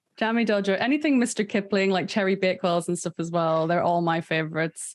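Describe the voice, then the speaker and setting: Against a quiet background, a woman with a Northern Irish accent speaks very fast at a medium pitch, with ordinary pitch variation and very even loudness. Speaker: podcast host. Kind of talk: casual chat.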